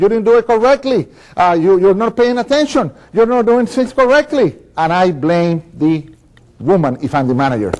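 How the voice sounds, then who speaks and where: At a moderate pace, a man speaks in a high pitch with an animated tone and very wide pitch swings. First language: Spanish. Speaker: motivational speaker. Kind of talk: keynote speech demo reel.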